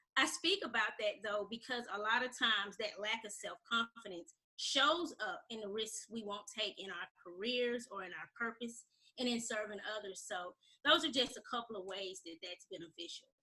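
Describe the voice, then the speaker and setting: Bright and sharp in tone, a woman with an American accent talks at a moderate pace and a fairly high pitch, her intonation lively and her loudness swinging widely. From Alabama, US South. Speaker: self-confidence coach. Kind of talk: interview. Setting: radio show.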